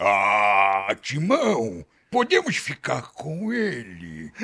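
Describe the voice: A man's put-on character voice, medium in pitch and very slow in pace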